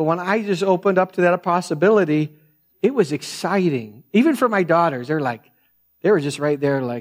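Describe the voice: A soft-spoken man talks with lively intonation on a very clean recording with a silent background. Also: fairly high pitch for a man, moderate pace.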